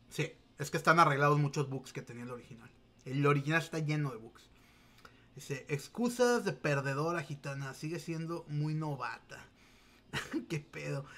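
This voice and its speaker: A man with a Mexican accent, bright and sharp in tone, at a moderate pace with big swings in loudness and long, frequent pauses. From Mexico. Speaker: gaming streamer. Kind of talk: casual livestream chat. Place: home room. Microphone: webcam.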